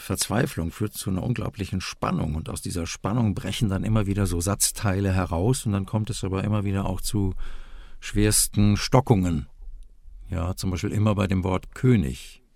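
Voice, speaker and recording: A man's fairly low voice with a dark, mellow tone at a moderate pace. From Westphalia, Germany. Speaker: voice actor. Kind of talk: interview. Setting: remote call.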